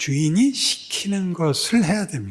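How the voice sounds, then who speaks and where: At a fairly slow pace, the voice moves through very wide pitch swings. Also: man. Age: old. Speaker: pastor. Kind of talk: sermon. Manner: slurred articulation with hesitations.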